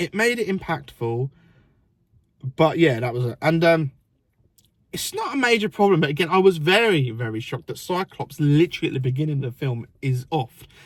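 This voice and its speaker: A man with an English accent, fairly high-pitched, at a fairly quick pace with lively intonation. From England. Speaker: film reviewer. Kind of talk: casual chat. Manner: halting.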